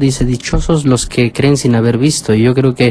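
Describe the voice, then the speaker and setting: A man speaks at a moderate pace with a medium pitch. His tone is dark and mellow, with ordinary pitch variation. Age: 40s. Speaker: priest radio host. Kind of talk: radio phone-in.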